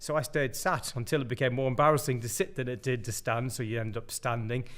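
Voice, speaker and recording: A man's medium-pitched voice at a very fast pace, with ordinary pitch variation. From Ireland. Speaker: pastor. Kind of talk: testimony. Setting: pre-recorded video.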